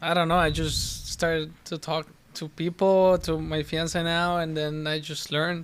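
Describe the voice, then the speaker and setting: With a Spanish accent, a man talks at a fairly slow pace in a high pitch, his intonation flat and monotone, on a very clean recording with a silent background. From Argentina. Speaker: professional soccer player. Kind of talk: casual interview chat. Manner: halting.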